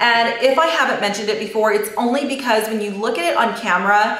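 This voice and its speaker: Amid noticeable background noise and audible room echo, a woman with a fairly high pitch speaks at a fairly quick pace. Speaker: beauty vlogger. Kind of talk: casual chat. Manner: fast; animated.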